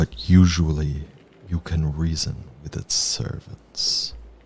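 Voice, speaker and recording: A man growls in a put-on character voice, his pitch very deep and low and his pace fairly slow. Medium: actual play. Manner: mournful, grave.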